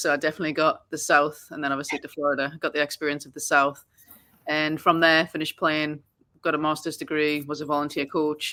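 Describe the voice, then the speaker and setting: In an American accent, a woman talks very fast with a very deep, low pitch and a bright, sharp tone, recorded very cleanly over a silent background. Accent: Geordie English with a bit of American twang. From northern England, Newcastle. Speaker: soccer coach. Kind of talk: podcast interview. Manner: casual, many fillers.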